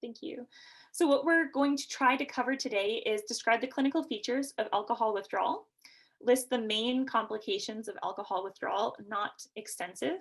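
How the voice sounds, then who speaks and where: Speaking at a fairly quick pace, a woman with a Canadian accent uses a high pitch. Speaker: nurse practitioner and educator. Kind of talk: lecture. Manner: fast.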